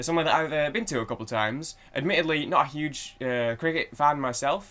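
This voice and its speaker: A man with a Manchester accent talks at a very fast pace. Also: fairly high pitch for a man, ordinary pitch variation. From Manchester, England. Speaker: music reaction youtuber. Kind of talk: casual chat. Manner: halting, many fillers.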